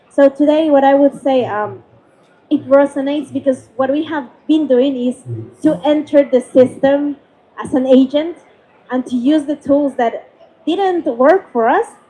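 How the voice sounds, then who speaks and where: A woman's high voice with ordinary pitch variation, at a fairly slow pace. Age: young. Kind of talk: panel discussion. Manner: halting.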